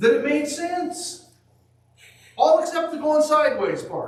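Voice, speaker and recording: A man speaks loudly. There is audible room echo and noticeable background noise. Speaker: preacher. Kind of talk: sermon.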